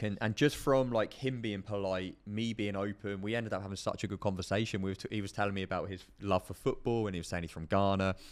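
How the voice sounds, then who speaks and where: Over a silent background in a very clean recording, a man with a southern English accent and a fairly low pitch speaks at a very fast pace with fairly even intonation and hardly any pauses. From southern England, Portsmouth. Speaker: podcast co-host. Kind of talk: casual chat.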